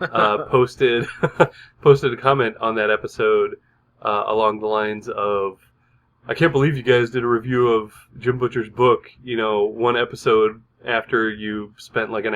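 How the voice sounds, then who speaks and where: An ordinary speaking voice keeps its intonation fairly even and its pace moderate. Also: man. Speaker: podcast co-host. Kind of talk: casual chat. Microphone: new microphone.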